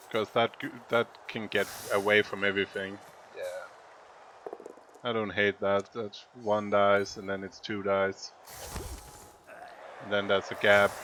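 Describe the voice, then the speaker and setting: This man's voice sits at a fairly low pitch, with monotone, flat intonation and long, frequent pauses. Noticeable background noise runs under it. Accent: Danish. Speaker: video game commentator and coach. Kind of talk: game commentary and coaching. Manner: thinking aloud with hesitations.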